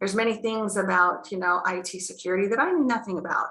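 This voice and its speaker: A medium-pitched woman with an American accent talks with ordinary pitch variation. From United States. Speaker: healthcare clinic founder. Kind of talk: webinar panel talk. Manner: hesitant, many fillers.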